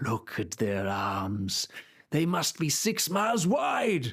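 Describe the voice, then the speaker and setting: A man performs a put-on character voice at a very slow pace. His pitch swings very widely while his loudness stays very even. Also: fairly high pitch for a man. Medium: read story. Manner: pompous, archaic speech.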